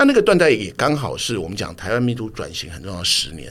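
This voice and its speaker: A man talks at a fairly quick pace and a medium pitch. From Taiwan (Tamsui; grew up in Dazhi, Taipei). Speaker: TV drama director. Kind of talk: interview conversation.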